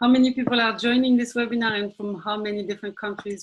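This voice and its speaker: In a French accent, a woman with a fairly high, somewhat breathy voice speaks with fairly even intonation. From France, Marseille. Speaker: executive director of a space youth organization. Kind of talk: webinar presentation.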